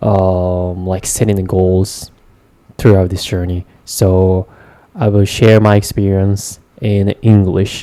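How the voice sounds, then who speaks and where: Very deep and low in pitch, a man talks at a very slow pace in monotone, flat intonation with a dark, mellow tone. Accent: Japanese. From Japan, Gunma Prefecture. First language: Japanese. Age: 20s. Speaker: vlogger, English learner. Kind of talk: casual monologue. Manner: halting, many fillers.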